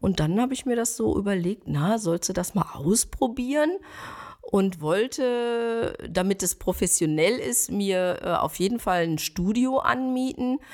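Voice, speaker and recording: This woman has a plain, everyday voice at medium pitch, talking at a fairly slow pace with lively intonation. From Ruhr area, Germany (Schwerte). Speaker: stylist and image consultant. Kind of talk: interview.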